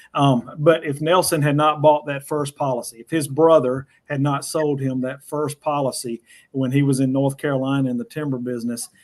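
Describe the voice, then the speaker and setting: A man with a Southern US accent and fairly even intonation. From US South. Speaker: financial educator on whole life insurance. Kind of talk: panel discussion.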